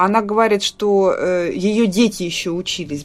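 This is a woman with an ordinary speaking voice at a medium pitch. Her pitch variation is ordinary. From Russia. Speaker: podcast co-host. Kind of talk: casual chat.

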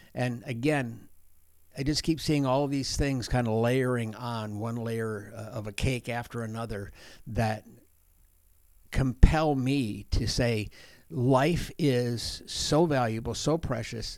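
A man with an American accent speaks at a very slow pace in a medium pitch, on a very clean recording with a silent background. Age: 60s. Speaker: outreach coordinator, former pastor. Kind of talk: interview, conversational. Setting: office interview. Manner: warm, enthusiastic, animated.

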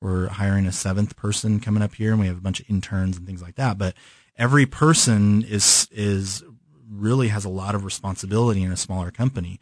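A man with an American accent and an ordinary speaking voice, fairly low in pitch, fairly quick in pace, with big swings in loudness over a quiet background. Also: fairly even intonation. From California. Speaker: design studio owner. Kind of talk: interview.

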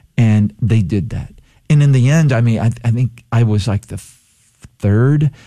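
Pausing long and often, a man of medium pitch speaks in a somewhat breathy voice with a dark, mellow tone. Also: ordinary pitch variation, fairly slow pace. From Texas Gulf Coast (Palacios). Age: 60s. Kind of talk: radio interview. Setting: radio studio.

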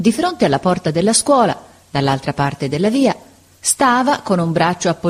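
Reading in a natural voice.

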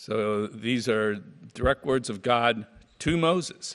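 The pace here is fairly slow. It is an unremarkable speaking voice. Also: man. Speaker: scripture reader. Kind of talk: reading aloud. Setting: church.

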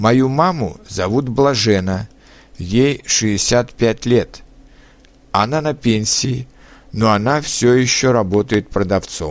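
A man with a medium pitch and ordinary pitch variation speaks at a very slow pace, leaving long, frequent pauses, his loudness very even throughout. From Czech Republic. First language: Czech (speaking Russian). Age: 30s. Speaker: language learner. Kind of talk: reading aloud.

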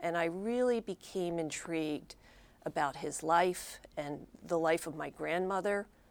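A woman with an American accent talks in a plain, everyday voice, fairly low in pitch with ordinary variation. The recording is very clean, with a silent background. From Philadelphia, Pennsylvania. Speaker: author and former reporter. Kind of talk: interview.

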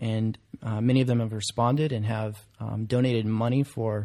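In an American accent, a man speaks with a dark, mellow tone and monotone, flat intonation on a very clean recording with a silent background. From central Alabama, US South. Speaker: seminary student. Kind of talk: casual interview.

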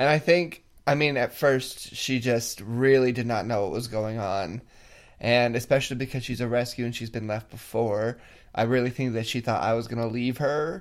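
There's a man speaking at a medium pitch in a Californian accent. His pace is moderate, and his pitch variation is ordinary. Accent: Californian American. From California, near Yosemite. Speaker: podcast host. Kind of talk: casual chat.

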